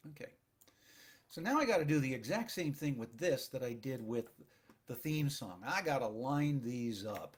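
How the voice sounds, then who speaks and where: A soft-spoken man talks at medium pitch and a fairly slow pace. His pitch varies in an ordinary way. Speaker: audio engineer. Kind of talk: screen-recorded tutorial narration.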